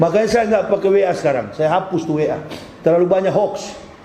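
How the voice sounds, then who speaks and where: An animated man with ordinary pitch variation, amid audible room echo and noticeable background noise. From North Sulawesi (Manado). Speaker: Islamic preacher. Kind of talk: sermon.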